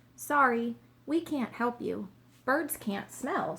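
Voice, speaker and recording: Speaking very slowly, a woman uses a put-on character voice with a high pitch. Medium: read story.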